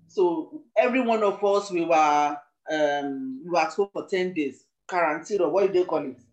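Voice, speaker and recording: With music in the background, a woman speaks at a moderate pace in a fairly low pitch with ordinary pitch variation. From Nigeria. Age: 60s. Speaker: church member, deacon nominee. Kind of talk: testimony.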